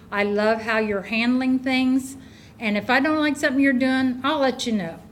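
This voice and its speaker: In a room with audible echo, a woman speaks at a moderate pace at a high pitch, with ordinary pitch variation and very even loudness. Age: 70s. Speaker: resident speaking at public hearing. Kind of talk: public comment at council meeting. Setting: council meeting room.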